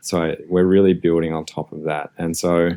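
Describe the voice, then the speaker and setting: With an Australian accent, the voice moves at a moderate pace. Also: man. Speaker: design executive. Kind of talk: interview.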